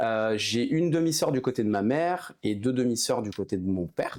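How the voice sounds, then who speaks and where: The recording is very clean, with a silent background. The intonation is lively. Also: man. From Haute-Savoie, French Alps. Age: 30s. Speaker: entrepreneur, former hockey player. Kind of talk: casual interview. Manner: hesitant, many fillers.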